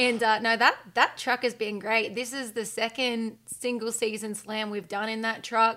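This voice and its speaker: Recorded very cleanly against a silent background, a woman with an Australian accent speaks at a moderate pace in a fairly high pitch, with monotone, flat intonation and a bright, sharp tone. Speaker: outdoor podcast host and TV presenter. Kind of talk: casual interview chat.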